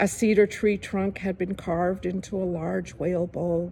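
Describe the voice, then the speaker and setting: A woman talks at a fairly slow pace, at a medium pitch with fairly even intonation. Her tone is dark and mellow, and somewhat breathy. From Kodiak Island, Alaska. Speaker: Alaska Native artist and storyteller. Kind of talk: storytelling.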